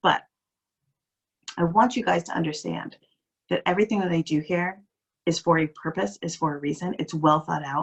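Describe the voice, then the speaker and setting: A woman with a fairly low pitch and vocal fry, her lively intonation broken by long, frequent pauses. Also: moderate pace. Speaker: life coach. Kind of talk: motivational talk. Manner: soft-spoken.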